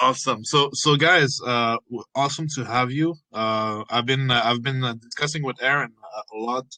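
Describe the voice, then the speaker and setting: Here a man speaks at a medium pitch and a moderate pace, with hardly any pauses. His tone is bright and sharp, and his intonation fairly even. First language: French. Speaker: AMA host. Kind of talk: casual interview chat.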